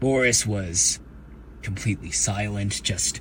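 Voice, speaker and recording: In a cartoonish character voice, a man talks at a fairly slow pace over clear background noise. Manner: friendly, rambling, hesitant.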